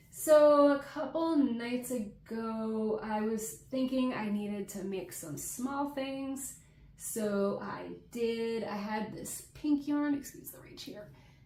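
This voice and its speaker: Over noticeable background noise, a woman speaks very slowly at a fairly high pitch, her intonation lively and her loudness swinging widely. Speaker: crochet content creator. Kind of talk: casual chat. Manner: casual, with fillers.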